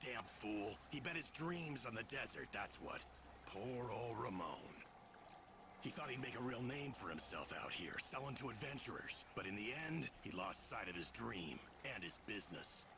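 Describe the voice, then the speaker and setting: Over loud background noise, a man puts on a gruff character voice at medium pitch, keeping a moderate pace and very even loudness. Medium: video game. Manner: gruff, blunt.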